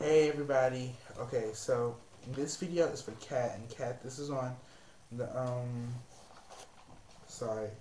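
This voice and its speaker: The speaker is soft-spoken, talks at a fairly slow pace with fairly even intonation, and leaves long, frequent pauses. There is noticeable background noise and an audible room echo. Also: man, medium pitch for a man. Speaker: psychic reader. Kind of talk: tarot and astrology reading monologue. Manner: soft-spoken, low volume; halting with many fillers.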